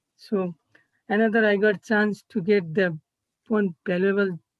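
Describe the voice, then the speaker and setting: A woman of medium pitch with a Nepali accent speaks at a fairly slow pace in monotone, flat intonation, the sound dry and close with no echo. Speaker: college student intern. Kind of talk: presentation. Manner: halting.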